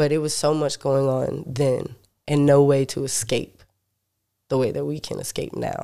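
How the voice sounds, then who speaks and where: A man with an American accent speaks at a moderate pace in a fairly high pitch. His dark, mellow tone stays monotone, with flat intonation. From US South, North Carolina. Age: 20s. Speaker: musician. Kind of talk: casual chat.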